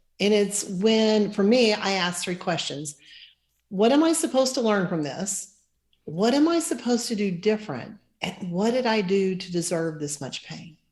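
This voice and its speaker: A somewhat breathy woman at a medium pitch, with very wide pitch swings. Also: moderate pace. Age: 60s. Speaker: financial planner. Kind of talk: interview.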